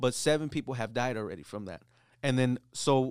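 Fairly quick speech from a man, an unremarkable speaking voice at medium pitch with ordinary pitch variation, on a very clean recording with a silent background. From US, Mexican-American. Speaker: podcast co-host. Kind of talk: casual chat. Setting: studio.

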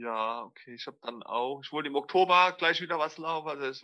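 Speaking with a slight Mannheim accent, a man talks at a moderate pace in a fairly high pitch with ordinary pitch variation. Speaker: extreme trail runner and former heroin addict. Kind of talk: personal interview testimony. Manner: halting, many fillers.

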